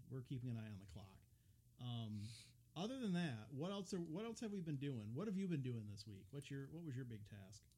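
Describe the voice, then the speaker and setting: Somewhat breathy and dark, mellow in tone, a man with a medium pitch speaks at a fairly quick pace with very wide pitch swings, in a room with audible echo. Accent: American. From upper Midwest US. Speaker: podcast host at a railroad depot museum. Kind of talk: casual chat. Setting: unheated recording room at the depot.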